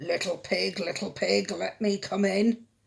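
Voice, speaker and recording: This is a put-on character voice at a middle pitch. It growls. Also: moderate pace. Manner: growling.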